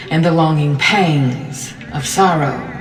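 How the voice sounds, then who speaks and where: Music plays in the background as a woman with a very deep, low pitch speaks at a fairly slow pace with ordinary pitch variation. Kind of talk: spoken word poetry reading.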